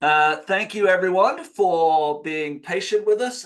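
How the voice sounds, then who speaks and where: Speaking at a very slow pace, a man has a high pitch. He carries a slight English accent. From England. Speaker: retirement education director. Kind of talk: webinar presentation. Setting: video call.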